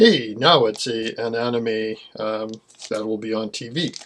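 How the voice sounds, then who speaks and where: Talking fairly slowly, a man with a medium-pitched voice speaks with a Canadian accent. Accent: Americanized Canadian. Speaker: manga collector YouTuber. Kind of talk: casual video talk. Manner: casual, frequent fillers.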